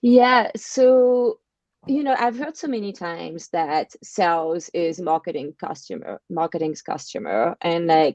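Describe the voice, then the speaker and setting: A woman with a French accent speaks at a fairly slow pace in a fairly low pitch, her dark, mellow tone shaped by lively intonation in a dry, close sound with no echo. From France. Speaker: marketing agency partner and podcast host. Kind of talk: casual interview. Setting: live video stream.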